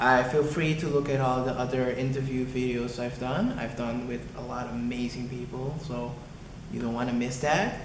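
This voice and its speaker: A man's medium-pitched voice at a moderate pace with fairly even intonation, plus noticeable background noise and audible room echo. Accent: Curaçao. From Aruba. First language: Papiamento. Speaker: design student. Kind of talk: video introduction.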